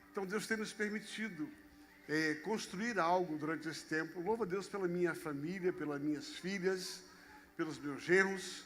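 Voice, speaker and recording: A man's high-pitched voice at a moderate pace, with ordinary pitch variation and audible room echo. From Brazil, Rio de Janeiro. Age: 60s. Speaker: pastor. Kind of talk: sermon.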